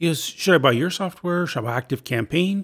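The recording is very clean, with a silent background. A man talks with vocal fry. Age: 50s. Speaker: podcast host, former police officer. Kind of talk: solo podcast monologue. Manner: casual, animated.

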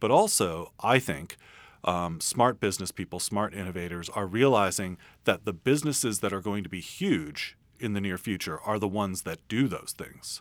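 With an American accent and a plain, everyday voice, a man talks at a moderate pace and fairly low pitch with ordinary pitch variation on a very clean recording with a silent background. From San Francisco. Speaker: futurist and author. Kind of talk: interview. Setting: radio studio.

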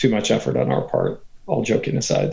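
A man's voice with vocal fry, at a moderate pace. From Texas, Katy near Houston. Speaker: venture capitalist. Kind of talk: interview.

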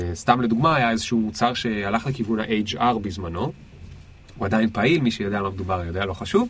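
A man talks fairly quickly in an ordinary speaking voice, with ordinary pitch variation. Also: fairly low pitch for a man. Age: 30s. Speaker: entrepreneur and career consultant. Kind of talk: casual interview. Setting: studio.

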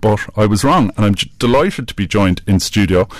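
In a plain, everyday voice, a man talks at a moderate pace with a fairly low pitch and ordinary pitch variation on a very clean recording with a silent background. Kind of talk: radio presenter patter. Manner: warm, brisk, conversational.

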